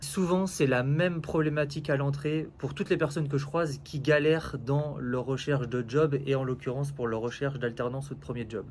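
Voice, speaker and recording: This man's intonation is fairly even. His voice sits at a medium pitch. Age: 30s. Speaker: recruitment coach. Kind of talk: casual advice talk to camera. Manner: hesitant, many fillers.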